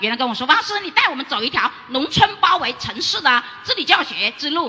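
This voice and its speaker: Raising and projecting her high-pitched voice with very wide pitch swings, a woman talks at a fairly quick pace over noticeable background noise. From Guangxi, Liuzhou. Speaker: rural teacher. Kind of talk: audience question. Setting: stage with audience.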